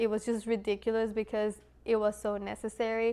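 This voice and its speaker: A woman speaks in a Spanish accent at a fairly high pitch. Her pace is moderate. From Latin America, Spanish-speaking; moved to US at 12. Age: 20s. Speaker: mechanical engineer, video creator. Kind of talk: casual vlog talk to camera.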